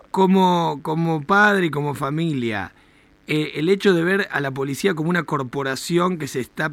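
Someone speaks at a moderate pace with lively intonation. The recording is very clean, with a silent background. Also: man. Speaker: radio host. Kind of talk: radio talk show interview. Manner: animated.

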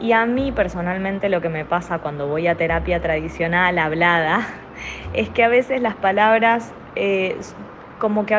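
A woman speaks at a fairly slow pace with ordinary pitch variation. Noticeable background noise can be heard. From Argentina. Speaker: art therapist. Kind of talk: recorded testimony.

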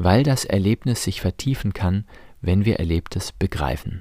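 In a dry, close sound with no echo and a silent background on a very clean recording, a man with a very deep, low pitch and a dark, mellow, somewhat breathy tone speaks at a moderate pace with lively intonation. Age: 40s. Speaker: priest and podcast host on relationships. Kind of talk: scripted monologue.

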